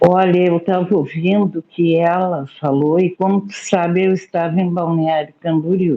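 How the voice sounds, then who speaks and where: A woman talks at a very slow pace. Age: 60s. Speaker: study group participant. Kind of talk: group discussion. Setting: video call.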